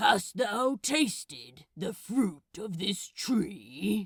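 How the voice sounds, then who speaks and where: In a put-on character voice, a female-sounding speaker at medium pitch sounds raspy and moves at a very slow pace. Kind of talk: archaic. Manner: hissing, punctuated with odd little grunts.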